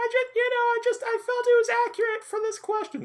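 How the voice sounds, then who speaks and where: A man's put-on character voice, squeaky and extremely high-pitched, delivered at a fairly quick pace in a monotone, flat intonation. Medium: actual play.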